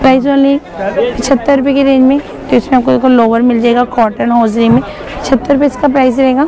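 Against clear background noise and clear crowd noise in the background, a woman talks at a fairly quick pace in a high pitch with little pitch movement.

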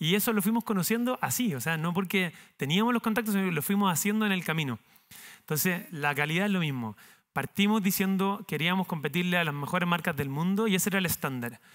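Against a quiet background, a man talks at a very fast pace. His pitch is high and his intonation lively. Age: 30s. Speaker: entrepreneur, company founder; speaker. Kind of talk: talk to university students; interview answer, storytelling talk. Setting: university auditorium with audience. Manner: halting, many repetitions and fillers. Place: stage. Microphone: headset.

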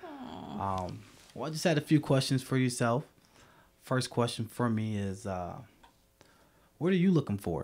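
A man with an American accent speaks at a moderate pace, his pitch swinging very widely. He leaves long pauses, and often. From US Midwest, Dearborn Heights, Michigan. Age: 20s. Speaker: dating show contestant. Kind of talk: casual chat. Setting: studio. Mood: relaxed, smiling. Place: home room. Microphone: studio mic.

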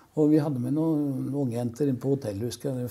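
A man talks at a very fast pace. His tone is dark and mellow, with ordinary pitch variation. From Oslo east, Norway; Norway. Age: 70s. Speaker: rock musician. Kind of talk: casual chat. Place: studio. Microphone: lapel.

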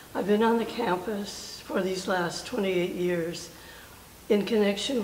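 In a General American accent, a woman speaks at a fairly slow pace with fairly even intonation. Room echo is audible, along with light background noise. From Oakland, California. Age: 80s+. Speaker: war veteran. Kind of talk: interview answer. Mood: warm, reflective, smiling. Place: hall.

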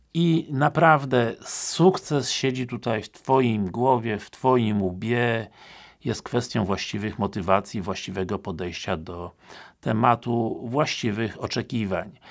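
Very slow delivery over a quiet background, with ordinary pitch variation and big swings in loudness. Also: man. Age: 50s. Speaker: police recruitment trainer. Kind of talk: casual talk to camera. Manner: hesitant with filler sounds. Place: home room.

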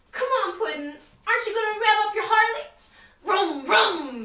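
In a cartoonish character voice, a woman speaks at an extremely high pitch and a moderate pace, with slight echo.

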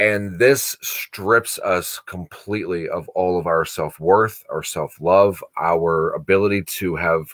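A man's very deep, low voice at a very slow pace, with fairly even intonation and a quiet background. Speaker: course host. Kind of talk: lecture-style discussion. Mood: earnest, reflective. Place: home room. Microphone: webcam.

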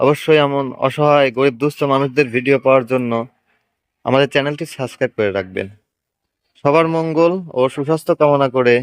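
A man with an ordinary speaking voice, fairly high pitch, and ordinary pitch variation, with a dry, close sound, no echo, and a quiet background. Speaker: YouTuber and auto-rickshaw driver. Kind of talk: vlog narration and interview.

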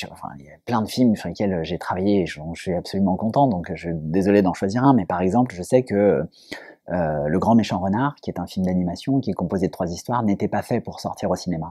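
Against a quiet background, a man's dark, mellow voice sounds dry with no echo and moves with ordinary pitch variation. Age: 30s. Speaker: film producer. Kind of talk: interview. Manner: hesitant, many fillers. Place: hall. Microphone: lapel.

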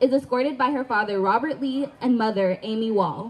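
A woman talks at a fairly slow pace in a high-pitched voice. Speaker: stadium announcer. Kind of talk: ceremony announcement. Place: stadium.

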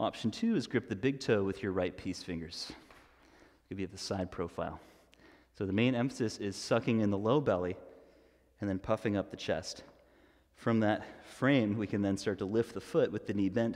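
In a calm tone, a man with a fairly low pitch and ordinary pitch variation speaks at a moderate pace, leaving long, frequent pauses against a quiet background. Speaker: yoga instructor. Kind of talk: guided yoga class, cueing poses and breath. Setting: streaming live from a yoga studio. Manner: instructional, calm and steady, with a brisk rhythmic cadence. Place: home room.

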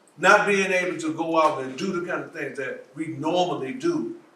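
With audible room echo, a man speaks at a high pitch and a moderate pace, with ordinary pitch variation. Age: 70s. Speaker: policing expert panelist. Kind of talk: town hall panel discussion. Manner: repetitive, halting restarts.

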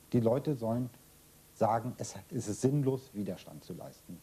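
A man's dark, mellow, somewhat breathy voice at a moderate pace with ordinary pitch variation. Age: 60s. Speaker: former political prisoner. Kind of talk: interview. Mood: serious, reflective. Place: home room.

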